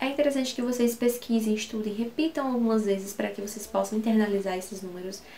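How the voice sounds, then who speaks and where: A woman's very fast, nearly pause-free speech in a Brazilian accent, with ordinary pitch variation, over noticeable background noise. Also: fairly high pitch for a woman. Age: 20s. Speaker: English teacher. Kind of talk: tutorial.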